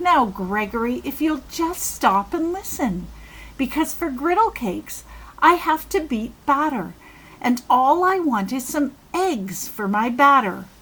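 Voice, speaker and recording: Using a put-on character voice, a woman speaks at a fairly slow pace in a high pitch with very wide pitch swings. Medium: read story. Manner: mild, gentle.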